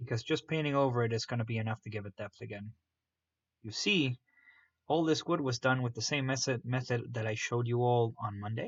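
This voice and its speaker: Somewhat breathy, a man speaks at a fairly quick pace in a medium pitch with ordinary pitch variation. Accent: non-native. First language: not English. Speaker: miniature painting streamer. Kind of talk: live stream painting tutorial with chat. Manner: casual, animated.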